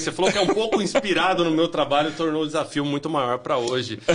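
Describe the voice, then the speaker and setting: A man speaks in a fairly high pitch. Noticeable background noise is audible. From Minas Gerais, Brazil (zona da mata), moved to São Paulo at 10. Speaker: business executive. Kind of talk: podcast interview.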